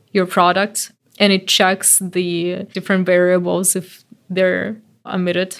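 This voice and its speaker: A woman speaks at a fairly slow pace. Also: very clean recording, silent background. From Belarus. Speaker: localization manager. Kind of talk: interview.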